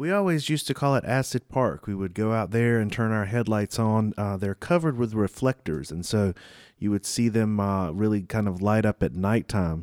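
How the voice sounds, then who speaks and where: A plain, everyday voice speaks at a moderate pace with ordinary pitch variation on a very clean, dry, close recording with no echo and a silent background. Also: man, fairly low pitch for a man. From eastern North Carolina. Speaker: podcast host. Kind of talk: casual interview.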